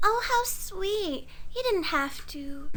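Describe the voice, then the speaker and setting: A woman puts on a squeaky character voice, extremely high in pitch, with very wide pitch swings. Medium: voice reel.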